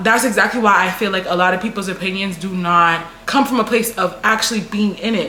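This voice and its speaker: Here a woman talks. There's noticeable background noise. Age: 20s. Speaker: content creator. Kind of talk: casual talk to camera.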